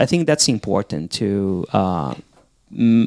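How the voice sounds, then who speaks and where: A man with a non-native accent speaks at a fairly low pitch in a dark, mellow tone, recorded dry and close with no echo against a very clean, silent background. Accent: foreign. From outside the US. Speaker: podcast co-host. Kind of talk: casual chat.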